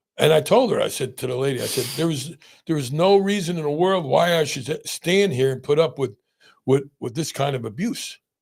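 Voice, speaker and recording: In a very clean recording with a silent background, a man speaks in a fairly high voice. He sounds somewhat breathy, with lively intonation. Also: fairly quick pace. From New Jersey, Italian-American. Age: 60s. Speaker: pain physician, podcast host. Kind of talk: casual chat. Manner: halting, many repetitions.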